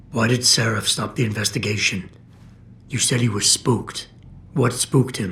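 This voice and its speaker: A put-on character voice from a man, medium in pitch and calm in tone, with long, frequent pauses and clear background noise. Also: moderate pace, fairly even intonation. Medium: video game. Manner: calm, clipped, controlled.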